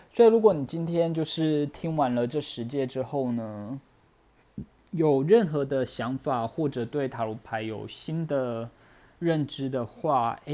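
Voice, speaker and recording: Speaking at a very slow pace, a man uses a dark, mellow tone with ordinary pitch variation. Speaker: podcast host, tarot reader. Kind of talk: solo podcast talk. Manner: hesitant, many fillers.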